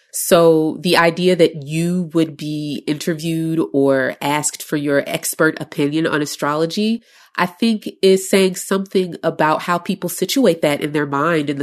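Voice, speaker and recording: An American accent at a moderate pace, with fairly even intonation over a quiet background. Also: woman. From Chicago. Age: 30s. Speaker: astrologer. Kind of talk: casual chat.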